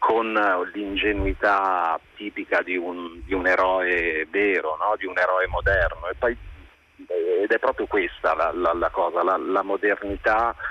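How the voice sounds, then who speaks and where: Fairly slow speech from a man, heard in a dry, close sound with no echo. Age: 40s. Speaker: film director. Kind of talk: casual chat.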